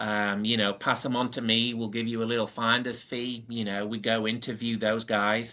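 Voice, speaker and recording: Over a silent background in a very clean recording, a man speaks at a medium pitch with a bright, sharp tone. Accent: Northern English. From Northern England. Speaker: powersports service manager. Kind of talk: podcast interview answer.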